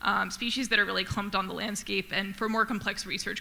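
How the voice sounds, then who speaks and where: A woman talks very fast at a medium pitch in a flat monotone, with audible room echo and noticeable background noise. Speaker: conservation researcher. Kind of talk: conference talk.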